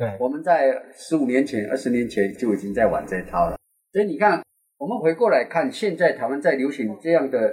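Pitched fairly high, a man talks at a fairly quick pace with very wide pitch swings. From Taiwan. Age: 60s. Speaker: podcast host, tour guide. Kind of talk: casual chat.

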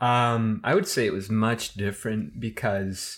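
A man with a Midwestern American accent and ordinary pitch variation, in a very clean recording with a silent background. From US Midwest. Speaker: history student. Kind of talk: casual chat.

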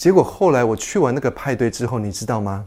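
On a very clean recording with a silent background, a man speaks at a medium pitch with lively intonation. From Taiwan. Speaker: podcast host and life coach. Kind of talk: lecture. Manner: animated.

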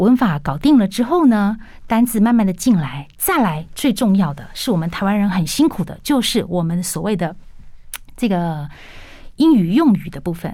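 Somewhat breathy and dark, mellow in tone, a woman's voice moves at a moderate pace through very wide pitch swings. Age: 40s. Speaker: English educator and business lecturer. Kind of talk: radio interview.

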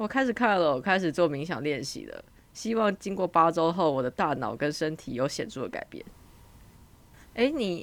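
Her loudness swings widely as this woman, fairly low in pitch, talks at a moderate pace with very wide pitch swings. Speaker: international student, podcast co-host. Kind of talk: casual chat.

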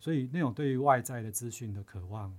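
In a very clean recording with a silent background, a man speaks at a moderate pace in a somewhat breathy voice. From Taiwan, Chiayi. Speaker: university professor. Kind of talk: interview. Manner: halting.

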